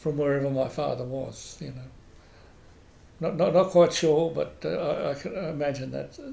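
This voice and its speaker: In an Australian accent, the speaker goes at a fairly slow pace, with audible room echo. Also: man. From Queensland, Australia. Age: 80s+. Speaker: oral history interviewee. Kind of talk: oral history interview. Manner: halting, many repetitions and fillers.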